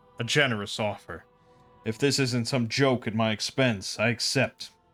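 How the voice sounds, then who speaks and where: A man puts on a character voice at medium pitch. He moves at a moderate pace with faint music in the background. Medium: game stream. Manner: gruff, bitter, terse.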